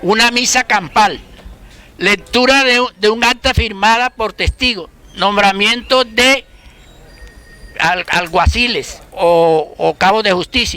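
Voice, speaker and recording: Using a raised, projected voice, a man speaks very slowly at a high pitch with ordinary pitch variation and long, frequent pauses. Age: 70s. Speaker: school founder and local historian. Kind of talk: community talk.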